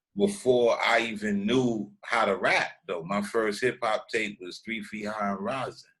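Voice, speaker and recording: A man speaks at a fairly slow pace with hardly any pauses. His pitch is fairly low and his intonation fairly even. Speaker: rapper. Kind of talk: interview. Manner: casual slang-heavy.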